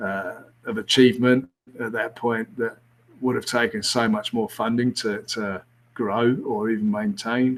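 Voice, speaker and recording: A man speaks with a British accent. His intonation is monotone and flat. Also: medium pitch for a man, fairly slow pace. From England. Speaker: former rugby coach. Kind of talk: casual interview. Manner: hesitant, many fillers.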